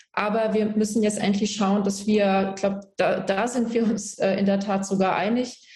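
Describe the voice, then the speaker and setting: A woman's somewhat breathy, dark, mellow voice at medium pitch, with monotone, flat intonation and a moderate pace. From Germany, Palatinate (rural village). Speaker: politician. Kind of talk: political debate.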